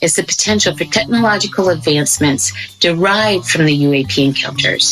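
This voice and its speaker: Amid noticeable background noise, a woman talks fairly quickly in a fairly low voice with very wide pitch swings, very even loudness and hardly any pauses. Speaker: podcast host. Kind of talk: breaking news report narration.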